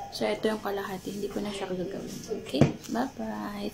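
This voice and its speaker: Noticeable background noise sits under a woman's voice. She has a medium pitch and speaks at a fairly slow pace. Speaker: vlogger. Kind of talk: casual vlog. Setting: indoors at someone else's house. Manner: soft-spoken, not loud.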